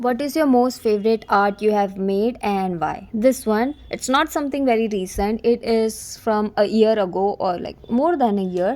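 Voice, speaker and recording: A woman with an Indian accent and a fairly high pitch speaks at a moderate pace with lively intonation. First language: Hindi. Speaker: digital artist and streamer. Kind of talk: casual Q&A vlog. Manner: animated.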